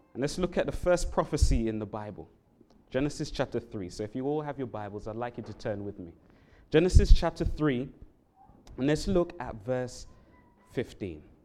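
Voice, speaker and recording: A London accent with long, frequent pauses. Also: moderate pace. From London, England. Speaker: Bible worker giving a sermon. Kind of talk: sermon. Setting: church.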